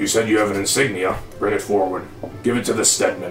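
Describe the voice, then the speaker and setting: A man does a put-on character voice at a very fast pace and a fairly low pitch. Clear music plays in the background, with a slight echo. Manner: gruff, folksy, mining metaphors.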